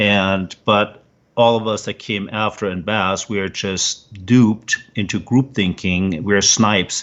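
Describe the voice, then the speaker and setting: The speaker talks at a fairly slow pace with a German accent. The intonation stays fairly even. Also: man, fairly low pitch for a man. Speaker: former researcher and military veteran. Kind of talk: interview. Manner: halting, many fillers.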